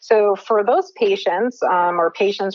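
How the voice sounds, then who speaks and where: A woman with an American accent and ordinary pitch variation, amid noticeable background noise. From New Jersey. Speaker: cannabis health coach, neuroscientist. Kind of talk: podcast interview.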